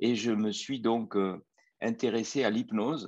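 Recorded dry and close with no echo over a quiet background, the speech goes at a very slow pace. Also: man. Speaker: anesthesiologist and near-death researcher. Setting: live video stream.

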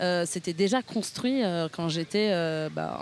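A woman talks very slowly, her pitch shifting in an ordinary way. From northern Italy, near Milan. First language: Italian (speaking French). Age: 30s. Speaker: podcast guest. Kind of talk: interview conversation. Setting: outdoors in a park. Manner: hesitant, many fillers.

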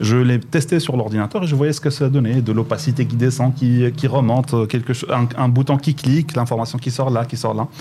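This man's voice is somewhat breathy, with a dark, mellow tone and a medium pitch. He talks at a moderate pace with ordinary pitch variation. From Morocco, Boujdour. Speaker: digital transformation expert. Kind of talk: radio interview. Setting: radio studio in Casablanca.

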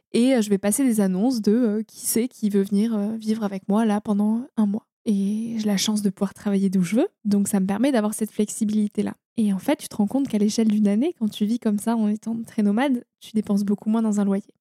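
Somewhat breathy and dark, mellow in tone, the voice moves at a fairly quick pace with hardly any pauses, fairly even intonation and big swings in loudness, in a dry, close sound with no echo. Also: woman, fairly high pitch for a woman. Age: 20s. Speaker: environmental storyteller and podcaster. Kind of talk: interview conversation. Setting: recorded in person in a holiday house near the ocean. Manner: hesitant, with fillers and repetitions.

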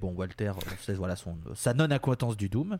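In a very clean recording with a silent background and a dry, close sound with no echo, a man speaks in a dark, mellow tone with ordinary pitch variation. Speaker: podcast host. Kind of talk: casual chat.

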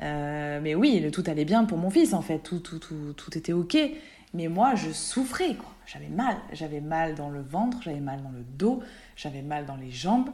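A woman with a very deep, low pitch and a dark, mellow tone speaks at a fairly slow pace, her intonation lively and her loudness swinging widely. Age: 30s. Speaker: wellness practitioner, mother. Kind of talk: personal testimony in casual interview. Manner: halting, many hesitations.

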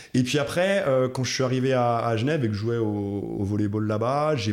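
Medium in pitch, a man talks at a fairly quick pace. His pitch varies an ordinary amount. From France, Alsace (Munster valley). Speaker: coffee roaster, former athlete and NGO director. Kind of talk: casual interview. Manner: halting, repeats words.

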